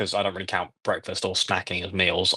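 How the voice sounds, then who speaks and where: A man with an English accent against a quiet background. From England. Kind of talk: casual chat. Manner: halting.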